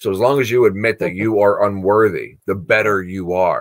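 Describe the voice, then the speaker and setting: A man speaks at a moderate pace in a fairly low pitch with ordinary pitch variation. The background is quiet. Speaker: course host. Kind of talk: lecture-style discussion. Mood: earnest, reflective. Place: home room. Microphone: webcam.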